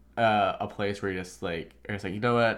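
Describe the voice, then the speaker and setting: The voice is an ordinary speaking voice with an American accent. Its intonation is fairly even. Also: man. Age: 18. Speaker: interview guest. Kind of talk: casual chat. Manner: casual, filler-heavy.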